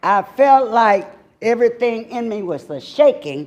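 With lively, varied intonation, the words come out fairly slowly. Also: woman. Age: 60s. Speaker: city council member. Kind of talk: formal speech at council meeting.

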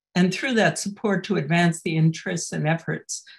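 Over a quiet background, a woman speaks in a somewhat breathy voice with ordinary pitch variation. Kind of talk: welcome announcement. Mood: warm, welcoming. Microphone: webcam.

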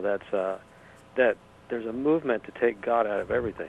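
He has a normal speaking voice and a medium pitch for a man. The man talks at a fairly quick pace. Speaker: caller. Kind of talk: call-in comment. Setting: phone call.

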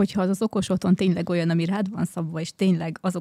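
Talking at a very fast pace against a quiet background, a woman uses a fairly low pitch and a dark, mellow, somewhat breathy tone with monotone, flat intonation. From Hungary. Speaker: guest, wife of smart home enthusiast; guest. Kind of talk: casual chat. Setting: studio. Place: studio. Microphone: studio mic.

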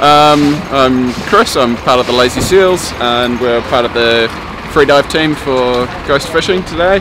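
A man with ordinary pitch variation over noticeable background noise. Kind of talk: interview answer. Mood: cheerful, relaxed. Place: waterside.

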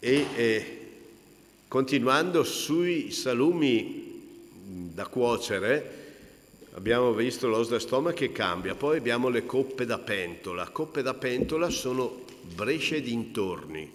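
Lively intonation marks this man's very slow delivery, broken by long, frequent pauses. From Italy, Brescia lowlands (Cigole); Italy. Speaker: cured meats expert and taster; presenter. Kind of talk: talk at a book presentation. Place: hall. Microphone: podium.

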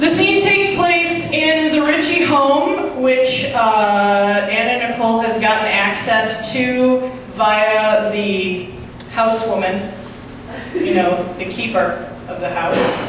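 Very slow speech with strong room echo and light background noise. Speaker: stand-up comedian. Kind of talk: stand-up comedy set with an absurd celebrity story and acted-out sketch voices. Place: stage.

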